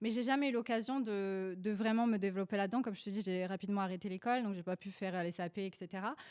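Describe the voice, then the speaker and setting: A woman with a Polish accent and medium pitch speaks at a very fast pace with hardly any pauses. Her intonation is fairly even, and the recording is very clean with a silent background. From Poland, moved to France at 11. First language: Polish (speaking French). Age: 20s. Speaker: beauty entrepreneur. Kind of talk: podcast interview. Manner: hesitant, many fillers.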